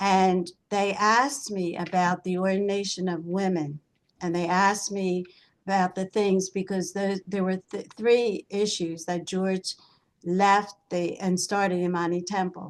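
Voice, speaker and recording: Over a quiet background, a woman with an American accent speaks in a monotone, flat intonation. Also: medium pitch for a woman, fairly slow pace. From US Northeast. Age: 80s+. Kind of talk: casual chat.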